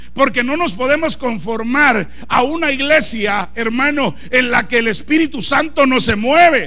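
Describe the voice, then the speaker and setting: A man speaks at an extremely high pitch in a raised, projected voice, fairly slowly and with ordinary pitch variation. Noticeable background noise and audible room echo surround him. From Guatemala. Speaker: pastor. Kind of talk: sermon. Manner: animated.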